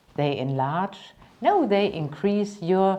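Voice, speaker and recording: A woman with a German accent, at a very slow pace. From Germany, Cologne. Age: 50s. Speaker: business trainer and coach. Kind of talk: self-presentation.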